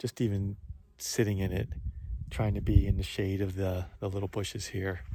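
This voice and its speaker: On a very clean recording with a silent background, a man with an American accent speaks at a moderate pace in a fairly low, somewhat breathy voice with a dark, mellow tone and fairly even intonation. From Philadelphia, US. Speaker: long-distance hiker, vlogger. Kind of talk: video diary. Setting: outdoors on a hiking trail. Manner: casual, with frequent fillers.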